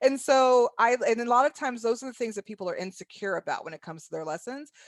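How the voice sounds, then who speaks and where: A woman's high voice at a very fast pace, with lively intonation, big swings in loudness, and a dry, close sound with no echo. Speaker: workshop presenter. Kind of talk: virtual conference presentation. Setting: virtual online session.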